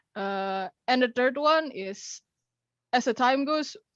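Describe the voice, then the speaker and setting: Against a quiet background, a woman speaks very slowly with ordinary pitch variation in a dry, close sound with no echo. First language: Indonesian. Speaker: young animator. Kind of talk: question to host. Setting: video call. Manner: halting.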